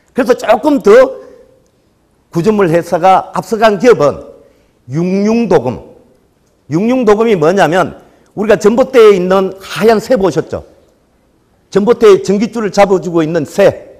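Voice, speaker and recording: Speech comes at a fairly slow pace with a Gyeongsang accent, broken by long, frequent pauses. Pitch variation is ordinary. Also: man, high pitch for a man. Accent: Gyeongsang dialect, noticeable. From Gyeongsang region, Korea. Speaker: solar company sales manager. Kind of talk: lecture. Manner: hesitant fillers, conversational.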